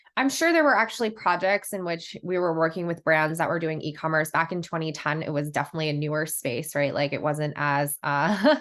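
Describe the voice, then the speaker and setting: A woman with an American accent and a normal speaking voice, fairly low in pitch, with ordinary pitch variation, at a fairly quick pace with hardly any pauses, over a quiet background. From US, New York. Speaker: brand marketing director. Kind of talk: podcast interview.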